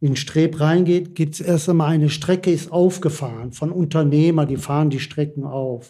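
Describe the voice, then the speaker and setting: The voice has a dark, mellow tone and fairly even intonation, moving at a moderate pace with hardly any pauses. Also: man, fairly high pitch for a man. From Bottrop, Ruhr area. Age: 60s. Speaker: retired coal miner. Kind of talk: interview.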